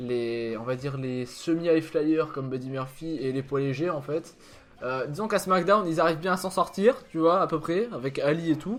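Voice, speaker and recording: A man speaks with a fairly high pitch and lively intonation at a moderate pace. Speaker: wrestling video host. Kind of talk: casual discussion.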